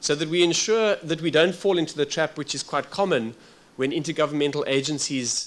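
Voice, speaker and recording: Speaking with a South African accent, a man keeps a moderate pace and ordinary pitch variation. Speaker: workshop facilitator. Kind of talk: formal workshop address. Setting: workshop with audience. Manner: halting, with frequent fillers.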